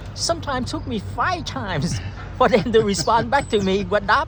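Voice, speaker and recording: A man speaks with a Vietnamese accent at a fairly quick pace. Audible room echo and noticeable background noise fill the recording. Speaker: immigrant interviewee. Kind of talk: interview. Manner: halting.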